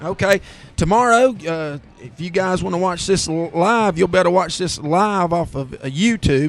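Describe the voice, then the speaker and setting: Here a man talks with a Southern US accent. His pitch is high and his pace moderate. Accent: Southern American. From US South. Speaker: play-by-play announcer. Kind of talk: live commentary. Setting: live radio broadcast at football stadium.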